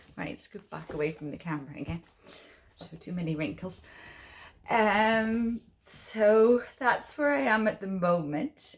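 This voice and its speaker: The speaker has an Irish accent and lively intonation. The pace is fairly slow. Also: woman. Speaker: cross-stitch designer and vlogger. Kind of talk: casual chat.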